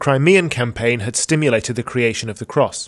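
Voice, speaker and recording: A man with an ordinary speaking voice talks at a fairly quick pace, his medium pitch moving with ordinary variation over a quiet background. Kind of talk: history documentary narration. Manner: formal, measured and even, reads factual dates and names in a steady, authoritative tone.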